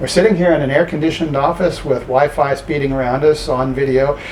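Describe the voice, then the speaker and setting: Through noticeable background noise, a man with a fairly high pitch speaks at a fairly quick pace. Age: 60s. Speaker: professor. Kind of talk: interview. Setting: office. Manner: halting.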